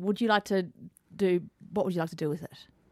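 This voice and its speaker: A woman speaks at a fairly quick pace with an Australian accent. Her tone is dark and mellow, and the sound is dry and close with no echo. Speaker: radio presenter. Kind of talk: radio interview. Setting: radio studio.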